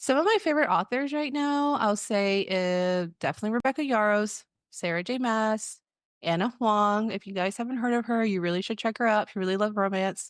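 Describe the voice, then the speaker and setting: Against a quiet background, a woman with an American accent talks at a fairly quick pace in a fairly high pitch, using ordinary pitch variation and an ordinary speaking voice. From Texas (Waco). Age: 30s. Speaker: podcast co-host, education administrator. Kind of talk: casual self-introduction.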